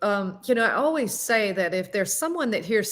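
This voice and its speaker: A woman speaks with a Southern US accent. Her pace is fairly quick. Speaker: singer and public speaking coach. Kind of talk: interview.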